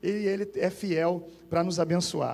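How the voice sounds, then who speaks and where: This is a man speaking. His pitch is high. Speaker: pastor. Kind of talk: sermon. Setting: church.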